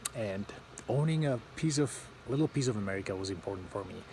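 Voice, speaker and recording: A man is speaking. His voice is somewhat breathy. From Eastern Europe. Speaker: vlogger. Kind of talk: casual vlog talk to camera. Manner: halting, many fillers.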